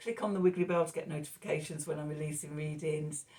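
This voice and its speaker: This woman's voice is very deep and low in pitch, somewhat breathy, with fairly even intonation. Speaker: tarot reader. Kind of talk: tarot reading monologue. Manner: mumbling.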